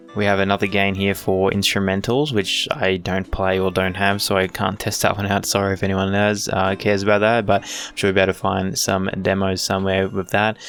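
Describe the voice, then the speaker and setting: A man with an Australian accent talks at a fairly quick pace in a fairly low pitch, with hardly any pauses. His intonation is monotone and flat, and there is noticeable background noise. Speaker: tech youtuber. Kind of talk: product unboxing review. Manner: casual, filler-heavy. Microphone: new dynamic mic, quiet at max gain.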